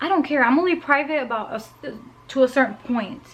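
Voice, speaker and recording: A loud woman's voice, high in pitch, with ordinary pitch variation. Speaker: lifestyle vlogger. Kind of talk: casual vlog monologue. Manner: animated, talkative.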